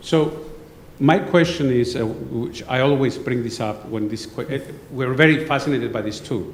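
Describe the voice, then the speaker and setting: Audible room echo and noticeable background noise surround a man who speaks at a moderate pace, at a medium pitch, with ordinary pitch variation. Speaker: researcher in audience. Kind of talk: Q&A discussion after lecture.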